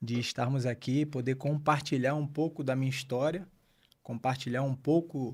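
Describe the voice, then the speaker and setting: This man has a medium-pitched, somewhat breathy voice and speaks at a moderate pace. The recording is very clean, with a silent background. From Pernambuco, Brazil (Abreu e Lima). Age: 50s. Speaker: pastor. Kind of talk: interview. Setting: studio.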